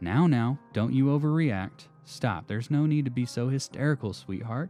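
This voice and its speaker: Putting on a hissing character voice, a man speaks at a moderate pace and medium pitch with ordinary pitch variation. Faint music plays in the background. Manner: patronizing, hissing.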